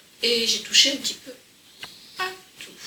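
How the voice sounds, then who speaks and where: A woman speaks over noticeable background noise. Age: 60s. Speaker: crafts youtuber. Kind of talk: casual chat. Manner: conversational.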